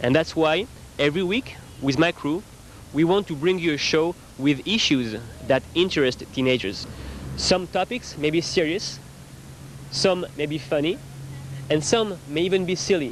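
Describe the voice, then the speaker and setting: A man with a French accent speaks at a moderate pace in a fairly high pitch, using lively intonation and long, frequent pauses over noticeable background noise. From France. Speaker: TV host and reporter. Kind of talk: scripted show intro.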